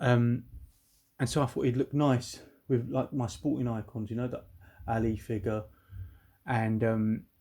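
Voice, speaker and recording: Moderate-paced speech from a man with a British accent at a medium pitch, fairly even in intonation, with long, frequent pauses, on a very clean recording with a silent background. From UK. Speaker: toy collector YouTuber. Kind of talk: unboxing video. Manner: casual, chatty; hesitant, fillers.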